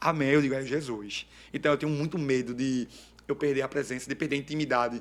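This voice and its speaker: Animated in tone, a man speaks at a very fast pace with a fairly high pitch. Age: 30s. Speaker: evangelical preacher. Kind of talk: testimony.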